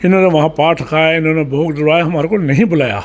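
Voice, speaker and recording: This is a man speaking. His pitch is high. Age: 70s. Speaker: local politician. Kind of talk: interview. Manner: animated.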